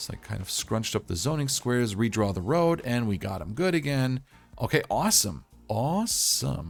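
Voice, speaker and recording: A man's upbeat, medium-pitched voice with very wide pitch swings at a moderate pace, music in the background. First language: not English. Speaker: gaming YouTuber. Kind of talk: game tutorial commentary. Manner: casual, upbeat.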